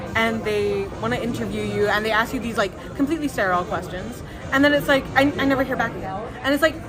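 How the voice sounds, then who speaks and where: The pace is very fast, with crowd noise in the background. Room echo is audible. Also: woman. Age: 20s. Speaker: recent graduate, artist and designer. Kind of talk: casual interview chat.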